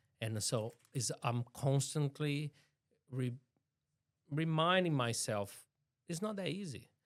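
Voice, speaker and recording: With lively intonation and a fairly high pitch, a man speaks very slowly, leaving long, frequent pauses. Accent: strong Brazilian. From Brazil. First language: Portuguese. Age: 40s. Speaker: city councillor. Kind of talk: interview.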